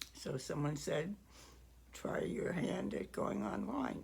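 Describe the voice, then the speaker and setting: Audible room echo surrounds the voice. A woman speaks very slowly. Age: 80s+. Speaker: writer and video creator. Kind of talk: casual talk to camera. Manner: halting, many fillers.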